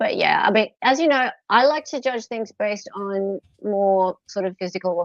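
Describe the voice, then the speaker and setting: Speaking with an Australian accent, a woman's pitch shifts in an ordinary way. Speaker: true crime livestream host. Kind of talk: casual livestream chat.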